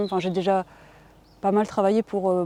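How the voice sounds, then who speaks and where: A woman's medium-pitched, dark, mellow voice, fairly quick and monotone with flat intonation, in a dry, close sound with no echo. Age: 40s. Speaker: farmer and activist. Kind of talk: interview. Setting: on her farm. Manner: hesitant, many fillers.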